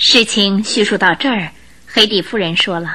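In a bright, sharp tone, a woman speaks at a medium pitch and a moderate pace with ordinary pitch variation.

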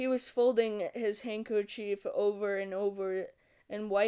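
What you hear is reading aloud in a natural voice.

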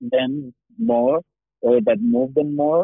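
A man with a Spanish accent speaks at a fairly slow pace, his intonation fairly even. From Chile. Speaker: animation producer. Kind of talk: interview. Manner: halting, many fillers and repetitions.

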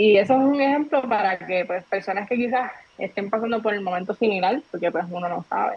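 Against noticeable background noise, a woman at a medium pitch talks at a fairly quick pace with ordinary pitch variation. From Puerto Rico, Trujillo Alto. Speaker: entrepreneur and content creator. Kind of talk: casual interview chat.

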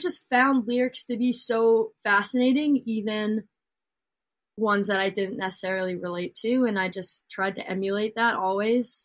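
A woman with an ordinary speaking voice talks at a moderate pace, her pitch fairly high and its variation ordinary. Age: 20s. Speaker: singer-songwriter. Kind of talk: casual chat.

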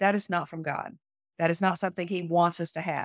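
An unremarkable speaking voice from a woman, fairly low in pitch and fairly quick, with a dry, close sound and no echo. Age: 50s. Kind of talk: podcast interview.

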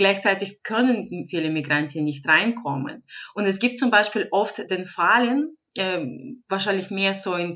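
A woman with a non-native accent speaks at a fairly slow pace. Her pitch sits in the medium range and varies in an ordinary way. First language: not German (speaking German). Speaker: advocacy organisation director. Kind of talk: interview.

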